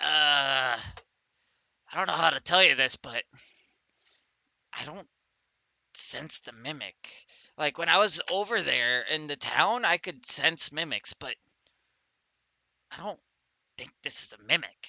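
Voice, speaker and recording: In a put-on character voice at a middle pitch, the speaker moves at a fairly slow pace with long, frequent pauses. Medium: actual play.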